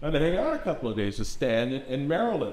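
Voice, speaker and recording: There is audible room echo and noticeable background noise as a man talks with a fairly high pitch. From US Southwest, El Paso Texas. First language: Spanish. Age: 60s. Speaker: experimental filmmaker. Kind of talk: artist talk. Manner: casual, with many repetitions and fillers.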